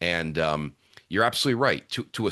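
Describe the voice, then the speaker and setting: A man's bright, sharp voice with vocal fry and very wide pitch swings, at a fairly quick pace against a quiet background. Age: 60s. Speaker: author and keynote speaker. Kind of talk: podcast interview. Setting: podcast.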